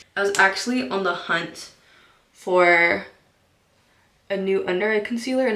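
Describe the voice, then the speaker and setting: With audible room echo, a woman speaks with fairly even intonation. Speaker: beauty vlogger. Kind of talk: makeup tutorial. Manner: casual, chatty.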